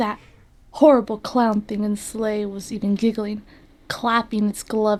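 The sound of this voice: The reading voice here is unforced.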